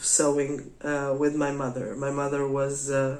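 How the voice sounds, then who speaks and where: At a very slow pace and with audible room echo, the speaker talks in a Portuguese accent. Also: woman. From Portugal. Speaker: craft podcaster. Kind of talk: casual monologue. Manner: halting, many fillers.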